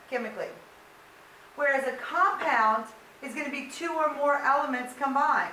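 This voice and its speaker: Raising and projecting her high-pitched voice, a woman keeps her intonation fairly even while noticeable background noise and audible room echo fill the recording. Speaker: high school science teacher. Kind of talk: lecture.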